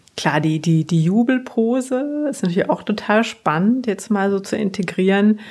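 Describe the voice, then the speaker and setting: Lively intonation carries along at a moderate pace with hardly any pauses, over noticeable background noise. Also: woman, medium pitch for a woman. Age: 30s. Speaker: association employee seeking coaching. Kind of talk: coaching session. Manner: hesitant, many fillers.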